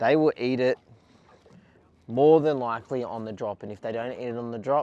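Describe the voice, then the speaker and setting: With an Australian accent, a man talks at a moderate pace in a medium pitch, his intonation fairly even and the sound dry and close with no echo. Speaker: fishing YouTuber. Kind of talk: casual fishing vlog commentary.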